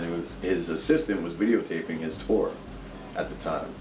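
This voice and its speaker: A man with a very deep, low voice is heard over noticeable background noise and audible room echo. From US East Coast. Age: 30s. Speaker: tattoo artist and painter. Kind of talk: casual interview.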